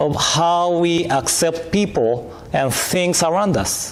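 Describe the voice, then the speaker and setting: Speaking at a very slow pace and a high pitch, a man is heard with audible room echo and noticeable background noise. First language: Japanese. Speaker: minister. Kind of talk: sermon. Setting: temple service.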